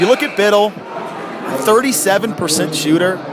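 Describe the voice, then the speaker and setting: A man speaks over noticeable background noise. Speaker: radio sports broadcaster, play-by-play announcer. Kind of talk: radio basketball play-by-play commentary.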